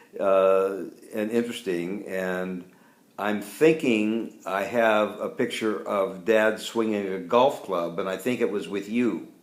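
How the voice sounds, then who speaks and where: At a fairly slow pace, a man with an unremarkable speaking voice talks at a fairly low pitch with ordinary pitch variation. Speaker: family interviewer. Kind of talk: casual interview question.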